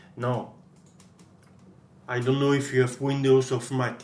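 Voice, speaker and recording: A somewhat breathy man at a moderate pace, medium in pitch, with monotone, flat intonation and a French accent. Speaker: guitar gear tutorial maker. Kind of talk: tutorial. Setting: screen recording at PC. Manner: halting.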